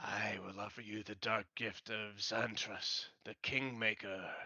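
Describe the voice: A man uses a put-on character voice with a fairly low pitch and a bright, sharp tone. His pitch barely moves. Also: fairly slow pace.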